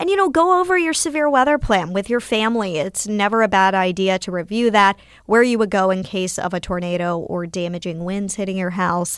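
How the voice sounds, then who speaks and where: With an American accent, a woman speaks fairly quickly at a medium pitch in a plain, everyday voice, with hardly any pauses. Her pitch varies in an ordinary way, on a very clean recording with a silent background. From North Carolina, near Winston-Salem. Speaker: TV meteorologist. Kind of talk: casual interview.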